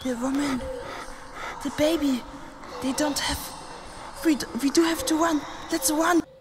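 With noticeable background noise behind her, a woman speaks in a high pitch with ordinary pitch variation and long, frequent pauses. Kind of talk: horror narration. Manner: hushed, slow, suspenseful storytelling; shifts into frightened, trembling character voices.

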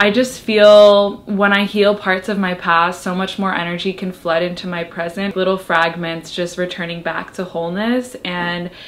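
A woman speaks at a moderate pace with fairly even intonation and hardly any pauses. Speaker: lifestyle vlogger. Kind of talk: casual vlog chat. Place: home room. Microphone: camera far.

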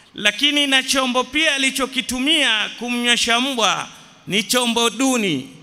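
The man talks in a raised, projected voice. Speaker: religious teacher. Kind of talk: sermon. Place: church. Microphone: podium.

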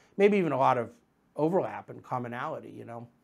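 A man with a fairly high pitch talks against a quiet background. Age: 40s. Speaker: investment manager hosting a market commentary show. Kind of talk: solo market commentary monologue. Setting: studio. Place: office. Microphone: lapel.

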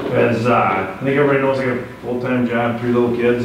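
Amid noticeable background noise and audible room echo, a man speaks at a fairly quick pace. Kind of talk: meeting remarks. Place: meeting room. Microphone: camera far.

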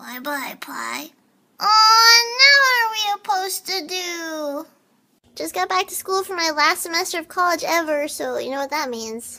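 Squeaky and extremely high, a woman's raised, projected voice moves at a fairly slow pace with very wide pitch swings and big swings in loudness. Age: 20s. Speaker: short comedy video creator. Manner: playful, quirky.

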